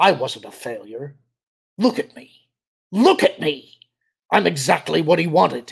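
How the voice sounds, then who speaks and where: A man puts on a raspy character voice at a high pitch, moving at a moderate pace with big swings in loudness and long, frequent pauses. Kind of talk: dramatic reading of a story. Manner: desperate, rising shout.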